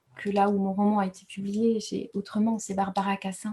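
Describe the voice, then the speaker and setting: Fairly slow speech from a woman, medium in pitch. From Rwanda. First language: Kinyarwanda (speaking French). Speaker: writer. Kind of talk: award acceptance speech. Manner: halting, many hesitations.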